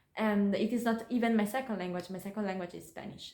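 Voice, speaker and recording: With an Italian accent, a woman speaks using ordinary pitch variation. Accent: Italian accent in English, imperfect English. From Italy. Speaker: YouTuber. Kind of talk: personal vlog talk to camera. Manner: calm, thoughtful with hesitations; halting, searching for words.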